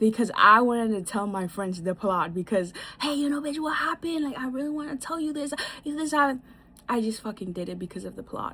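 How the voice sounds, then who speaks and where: A woman races along very fast in a bright, sharp tone, fairly high in pitch with very wide swings. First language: not English. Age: 20s. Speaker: vlogger. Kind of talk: casual advice monologue. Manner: animated; halting.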